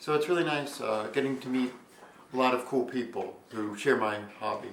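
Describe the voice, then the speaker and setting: At a moderate pace, a man speaks at a medium pitch with ordinary pitch variation, audible room echo and noticeable background noise. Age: 20s. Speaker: robot combat competitor and video creator. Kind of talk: interview. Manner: hesitant, many fillers.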